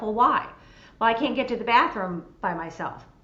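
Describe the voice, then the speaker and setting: A woman's fairly quick speech with ordinary pitch variation and audible room echo. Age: 60s. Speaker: senior care expert. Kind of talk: panel discussion.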